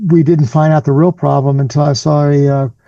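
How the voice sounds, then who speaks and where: A man's somewhat breathy voice, fairly high in pitch, with a dark, mellow tone. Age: 60s. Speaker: cancer survivor and patient advocate. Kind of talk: interview.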